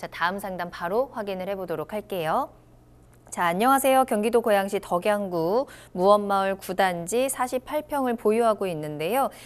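At a moderate pace, a woman speaks with lively intonation and a medium pitch. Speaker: TV show host. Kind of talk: broadcast hosting. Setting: studio. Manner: formal, polished. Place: studio. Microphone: lapel.

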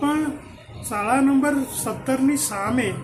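An extremely high-pitched male voice amid noticeable background noise and audible room echo. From north Gujarat, India (Unjha area), raised in Ahmedabad. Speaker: retired professor and folklore researcher. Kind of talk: interview, life story.

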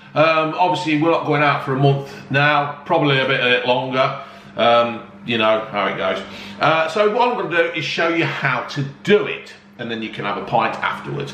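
There is audible room echo and light background noise as a man speaks at a moderate pace. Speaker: home cooking vlogger. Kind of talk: casual vlog chat. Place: home room. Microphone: phone near.

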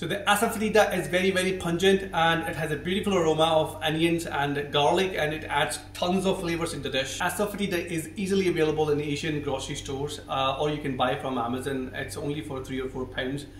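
A man talks at a very fast pace with hardly any pauses and ordinary pitch variation. Audible room echo and light background noise surround him. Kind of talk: cooking tutorial talk to camera. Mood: warm, enthusiastic. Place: kitchen.

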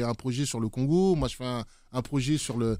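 Heard on a very clean recording with a silent background, a man speaks at a fairly slow pace with ordinary pitch variation in a normal speaking voice. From French Antilles. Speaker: DJ and music producer. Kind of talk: casual interview. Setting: studio.

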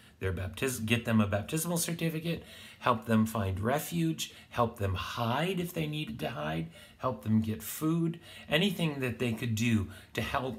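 Over music in the background, a man talks with very wide pitch swings. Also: moderate pace. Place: home room. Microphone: phone near.

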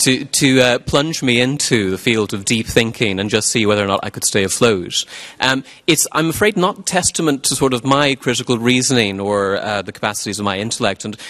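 Bright and sharp in tone, a man talks at a fairly quick pace. His pitch varies in an ordinary way over a quiet background. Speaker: event host introducing speaker. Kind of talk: formal introduction speech. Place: stage. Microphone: podium.

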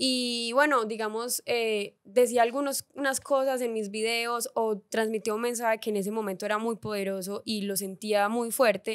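A woman's fairly high voice, a plain, everyday voice, at a moderate pace with hardly any pauses and fairly even intonation, quiet background. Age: 20s. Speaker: influencer and content creator; influencer, content creator. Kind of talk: casual interview chat. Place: studio. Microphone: studio mic.

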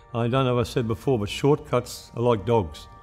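Faint music sounds in the background. Over it, a man talks at a moderate speed. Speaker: retired mine worker. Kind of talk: interview answer. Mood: earnest, reflective. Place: studio.

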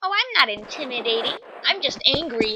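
Using a put-on character voice, a female-sounding speaker talks at a fairly quick pace with a high pitch. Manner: girly, sweet, not angry-sounding.

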